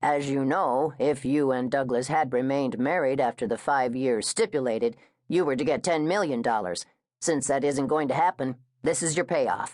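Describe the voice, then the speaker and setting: A put-on character voice at a low-to-middle pitch moves at a moderate pace over a quiet background. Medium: read story. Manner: hesitant, formal.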